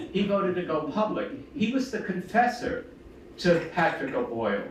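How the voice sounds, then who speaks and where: Amid noticeable background noise and audible room echo, a man with a Brooklyn accent speaks in a high voice with lively intonation. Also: moderate pace. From US Northeast, Brooklyn, New York. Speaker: theology professor, panelist. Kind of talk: panel discussion. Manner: conversational, with frequent fillers.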